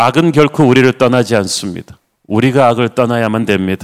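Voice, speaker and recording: A man at a medium pitch and moderate pace, an ordinary speaking voice, dry and close with no echo. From South Korea, Busan. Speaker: pastor. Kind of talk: sermon. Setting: online livestream.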